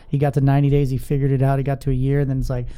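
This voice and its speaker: A man speaks with a fairly high pitch and a dark, mellow tone. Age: 30s. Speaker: podcast host. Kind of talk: casual interview; sales pitch. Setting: studio. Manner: animated.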